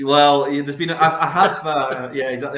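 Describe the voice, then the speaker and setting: The speaker has a Scottish accent. The pace is very fast. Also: man. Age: 30s. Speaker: distillery representative. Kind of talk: casual chat. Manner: loud.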